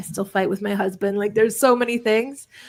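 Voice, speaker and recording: A woman's voice with vocal fry and ordinary pitch variation, on a very clean recording over a silent background. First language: Polish. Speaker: entrepreneur and author. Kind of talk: podcast interview. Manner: animated.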